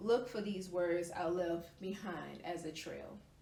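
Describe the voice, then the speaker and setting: Noticeable background noise sits behind a woman's voice. She speaks at a fairly slow pace with fairly even intonation. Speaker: spoken word poet, Twitch streamer. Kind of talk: spoken word poetry reading.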